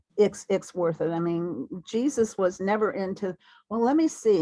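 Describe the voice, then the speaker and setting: The woman's tone is dark and mellow. She speaks at a fairly slow pace. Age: 70s. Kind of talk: conference orientation talk over video call. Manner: halting, with frequent repetitions.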